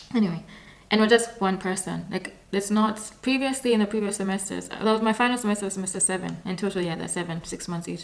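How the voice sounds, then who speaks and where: Over noticeable background noise, the speech runs at a very fast pace with fairly even intonation. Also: woman, medium pitch for a woman. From Kenya. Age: 20s. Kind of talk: casual talk to camera.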